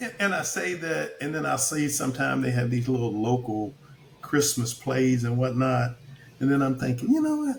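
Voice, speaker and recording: With a Kentucky accent, a man talks at a moderate pace against noticeable background noise. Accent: Kentucky Southern US. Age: 60s. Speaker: retired army officer turned actor. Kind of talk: casual chat.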